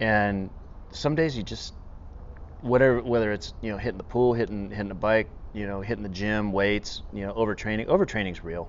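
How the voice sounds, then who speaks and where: A man with an unremarkable speaking voice talks at a fairly quick pace, his fairly low pitch showing ordinary variation. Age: 50s. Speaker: podcast host, fire department special operations trainer. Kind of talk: casual interview conversation.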